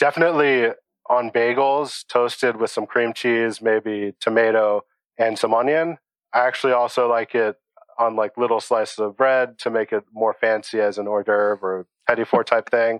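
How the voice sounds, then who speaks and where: An ordinary speaking voice with fairly even intonation and a moderate pace. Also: man, medium pitch for a man. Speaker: home cook, recipe submitter. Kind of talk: casual interview.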